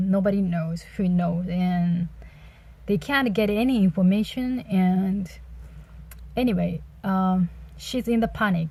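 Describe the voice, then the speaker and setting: A woman with a Japanese accent speaks fairly slowly at medium pitch in a dark, mellow, somewhat breathy tone. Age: 30s. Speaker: book reviewer. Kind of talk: casual book review monologue. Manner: halting, many fillers.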